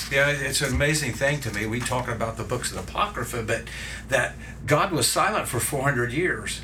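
There is noticeable background noise behind this man, whose pitch varies in an ordinary way. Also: medium pitch for a man, moderate pace. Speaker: co-host. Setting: studio.

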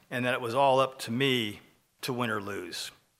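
A man's bright, sharp, medium-pitched voice with an American accent. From US Northeast (Pennsylvania and Connecticut). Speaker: lay ministry leader and architect. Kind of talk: testimony. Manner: halting.

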